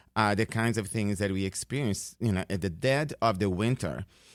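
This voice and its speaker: In a very clean recording with a silent background, a man speaks in a fairly low voice with a Brazilian Portuguese accent. His pitch varies in an ordinary way. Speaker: professor. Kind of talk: radio interview. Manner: halting, many fillers.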